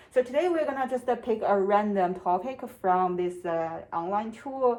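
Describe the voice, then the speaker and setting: Speaking with a strong non-native accent, a woman talks at a moderate pace with ordinary pitch variation. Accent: strong non-native accent (self-described). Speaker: UX designer practicing interviews. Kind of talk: solo tutorial-style practice monologue. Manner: hesitant, many fillers; trying to speak at normal speed.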